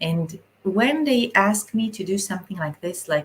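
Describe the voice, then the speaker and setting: This woman has an Israeli accent and a somewhat breathy sound. She talks at a fairly slow pace with ordinary pitch variation. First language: Hebrew. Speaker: spiritual channeler. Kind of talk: live stream talk. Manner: halting.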